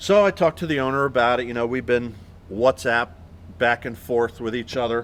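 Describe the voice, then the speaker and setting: A man with a normal speaking voice, medium in pitch, at a fairly quick pace. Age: 60s. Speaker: marine canvas maker. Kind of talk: tutorial.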